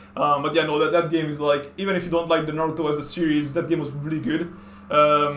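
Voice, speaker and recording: A man with fairly high pitch talks at a very fast pace in a monotone, flat intonation. Noticeable background noise and audible room echo are present. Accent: Hungarian. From Hungary. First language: Hungarian. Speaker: artist and video game streamer. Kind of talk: casual chat. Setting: at home.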